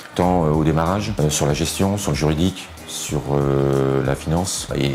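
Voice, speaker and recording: A man's very deep, low voice at a moderate pace, with audible room echo and music in the background. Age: 50s. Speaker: temp agency franchise owner. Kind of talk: testimonial interview. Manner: hesitant, many fillers and repetitions.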